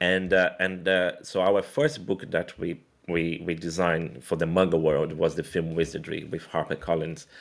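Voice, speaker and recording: Someone with a Portuguese accent speaks at a moderate pace with hardly any pauses and fairly even intonation, on a very clean recording with a silent background. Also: man, very deep, low pitch for a man. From Brazil. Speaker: graphic designer. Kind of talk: casual chat. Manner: halting, with frequent repetitions.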